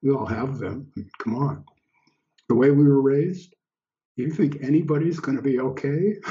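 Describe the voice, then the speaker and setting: A somewhat breathy man speaks at a moderate pace with ordinary pitch variation. He takes long, frequent pauses. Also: fairly high pitch for a man. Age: 70s. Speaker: guest on podcast. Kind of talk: casual chat.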